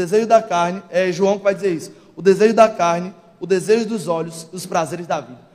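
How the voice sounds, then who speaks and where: A man with a high-pitched voice talks at a fairly quick pace, his intonation fairly even. His loudness swings widely, and there is noticeable background noise. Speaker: preacher. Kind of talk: sermon. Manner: forceful, sounds angry.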